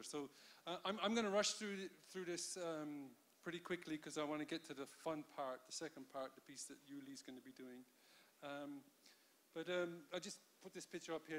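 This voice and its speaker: A man speaks fairly quickly. The rise and fall of his pitch is ordinary. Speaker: conference keynote speaker. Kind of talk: lecture. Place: hall. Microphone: handheld.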